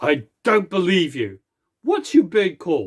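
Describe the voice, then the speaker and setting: Putting on a character voice, a man speaks high in pitch at a fairly slow pace. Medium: solo performance. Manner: imperious, mocking.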